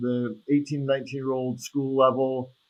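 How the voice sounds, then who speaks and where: At a moderate pace, a man with a medium-pitched voice speaks in a flat monotone. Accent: American. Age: 60s. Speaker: attorney and soccer referee. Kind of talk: podcast interview. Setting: video call.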